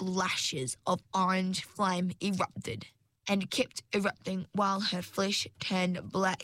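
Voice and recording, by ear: In a natural voice, someone reads aloud.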